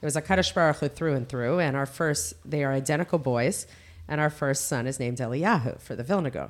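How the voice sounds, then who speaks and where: With a New Jersey accent, a woman talks very fast in a very deep, low pitch and lively intonation. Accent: American, New Jersey. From US, Teaneck, New Jersey. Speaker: seminary director. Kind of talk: casual interview.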